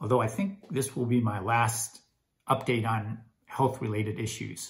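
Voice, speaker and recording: At a moderate pace, the speaker's delivery shows ordinary pitch variation. The voice has a somewhat breathy quality. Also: man, medium pitch for a man. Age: 60s. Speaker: health vlogger. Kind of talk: casual vlog monologue. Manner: hesitant, many fillers.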